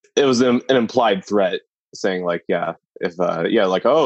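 Dry, close sound with no echo, from a man speaking at a moderate pace. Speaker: podcast co-host, film discussion. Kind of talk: casual chat. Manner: hesitant, filler-heavy.

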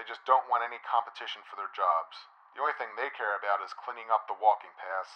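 The text is read aloud in a natural voice whose pitch moves in an ordinary way.

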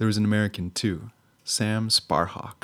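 A man's fairly low-pitched delivery in an ordinary speaking voice, with fairly even intonation, a moderate pace, and a very clean recording with a silent background. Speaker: travel podcast host. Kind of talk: casual interview. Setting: outdoors.

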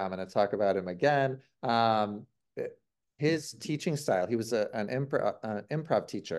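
Against a quiet background, a man speaks at a fairly quick pace. His pitch sits in the medium range. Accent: US Midwestern. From Ohio, US Midwest. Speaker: author and improv teacher. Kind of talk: interview conversation.

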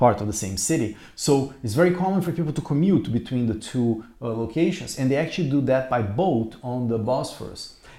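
With a Portuguese accent, a man speaks at a fairly quick pace in a medium pitch, his intonation lively. His tone is dark and mellow, and somewhat breathy. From Brazil. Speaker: podcast co-host, artist. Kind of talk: casual chat. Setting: rented apartment in Istanbul.

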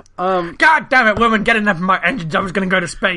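A man's put-on character voice, raised and projected, gruff and high-pitched, at a very fast pace. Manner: irritated, swearing.

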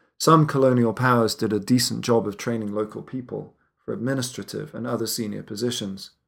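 On a very clean recording with a silent background, a man with an ordinary speaking voice talks at a fairly quick pace and medium pitch, with ordinary pitch variation. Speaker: podcast narrator. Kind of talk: history documentary narration. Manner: measured, authoritative storyteller; steady, serious, gravely somber.

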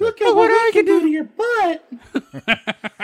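The put-on character voice is pitched extremely high. It moves along at a moderate pace. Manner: taunting, comical.

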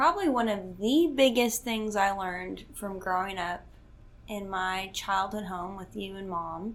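In a Southern US accent, a woman of medium pitch talks at a fairly slow pace with ordinary pitch variation and audible room echo. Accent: Southern American. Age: 20s. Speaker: host's daughter, works at relationship nonprofit. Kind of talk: casual chat. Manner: laughs often.

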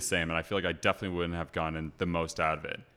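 The speaker, with an American accent, talks at a very fast pace in a bright, sharp tone. The recording is very clean, with a silent background. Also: man. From California, Los Angeles area. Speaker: grad student. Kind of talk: casual chat.

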